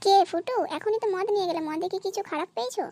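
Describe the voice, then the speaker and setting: A woman puts on a squeaky character voice at an extremely high pitch. She talks very fast. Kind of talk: comic cartoon acting. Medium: cartoon.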